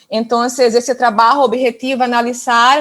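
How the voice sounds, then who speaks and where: The speaker talks at a fairly slow pace in a Portuguese accent. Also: woman. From northern Brazil, Amazon region. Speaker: doctoral researcher presenting at conference. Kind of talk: conference presentation. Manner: halting.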